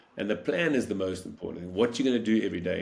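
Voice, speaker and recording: In a room with audible echo, a man speaks very fast in an energetic tone, with ordinary pitch variation. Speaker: world champion paddler and motivational speaker. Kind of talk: interview.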